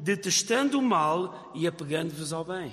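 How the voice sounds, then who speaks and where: A man speaks with a European Portuguese accent and lively intonation. Noticeable background noise runs under his voice. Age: 50s. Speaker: pastor. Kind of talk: sermon.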